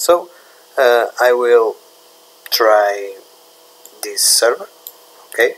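Speaking very slowly with long, frequent pauses, a man with a Portuguese accent is heard over noticeable background noise. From Portugal. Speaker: tech YouTuber. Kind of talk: tutorial. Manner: halting, many fillers.

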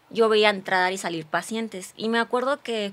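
A woman with fairly even intonation. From Morelos, Mexico. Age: 30s. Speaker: physician and social media creator; podcast guest. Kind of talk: testimony. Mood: earnest, reflective storytelling. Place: studio. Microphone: studio mic.

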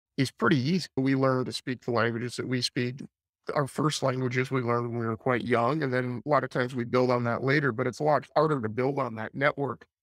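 Talking at a very fast pace, a man keeps a fairly even intonation. The sound is dry with no echo and a quiet background. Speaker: podcast guest. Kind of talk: interview answer. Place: home room. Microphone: webcam.

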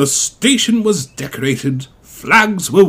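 An unforced reading voice with lively intonation

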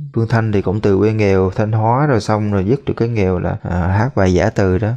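Fairly low in pitch, a man talks with a dark, mellow tone and fairly even intonation. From Central Vietnam. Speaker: reaction video host. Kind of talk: commentary on a video.

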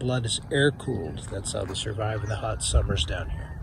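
Against noticeable background noise, a man speaks with vocal fry in a dry sound with no echo. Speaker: nature guide on a walk. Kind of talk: casual explanation. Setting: outdoors on a walk. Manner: quiet. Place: open country.

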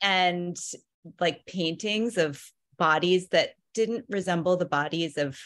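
A woman with an American accent and a fairly low pitch, ordinary pitch variation, a fairly slow pace, dry sound with no echo, and a quiet background. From US Midwest, Ohio. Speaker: college faculty. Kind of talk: casual chat. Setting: video call. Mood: warm, appreciative. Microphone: video call.

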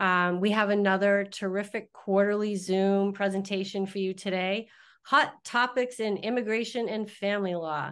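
The speaker is a woman. She keeps a moderate pace. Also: quiet background. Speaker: webinar host. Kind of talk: webinar introduction. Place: office. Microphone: video call.

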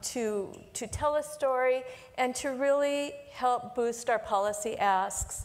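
This woman speaks with ordinary pitch variation. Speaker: early childhood program leader. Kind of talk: panel discussion. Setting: stage with audience. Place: stage. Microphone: lapel.

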